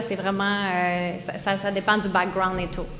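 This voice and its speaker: Noticeable background noise under a woman's moderately paced speech. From Quebec, Eastern Townships. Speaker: snowmobile company employee. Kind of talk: podcast interview. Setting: live audience in a brewery.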